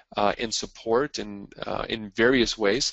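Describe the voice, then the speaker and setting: With a Canadian accent, a man uses a plain, everyday voice at medium pitch and with fairly even intonation. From Quebec, Montreal. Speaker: marketing and media speaker. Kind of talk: webinar presentation. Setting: call. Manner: frequent fillers (uh, um).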